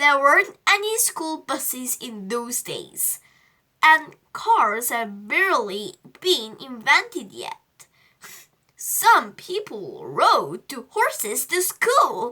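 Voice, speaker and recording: Putting on a character voice, a woman talks at an extremely high pitch and a very slow pace, with very wide pitch swings and big swings in loudness. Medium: read story. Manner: teacherly, patient.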